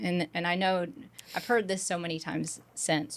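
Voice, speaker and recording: A woman with an unremarkable speaking voice talks with fairly even intonation. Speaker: podcast host. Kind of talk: casual podcast talk.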